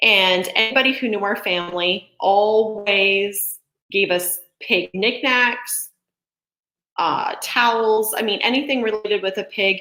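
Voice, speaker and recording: With an American accent, a woman speaks at a fairly slow pace in a medium pitch. Her pitch varies in an ordinary way, and she has a normal speaking voice. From Montana, US. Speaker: real estate agent hosting a local business livestream. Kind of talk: live stream presentation. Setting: home office, live video stream. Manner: casual, chatty.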